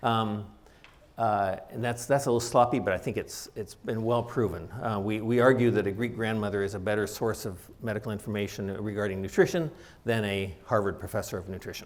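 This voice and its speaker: In a room with audible echo, a man speaks fairly quickly at a fairly low pitch with fairly even intonation. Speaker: doctor giving a public talk. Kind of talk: lecture. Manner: fast.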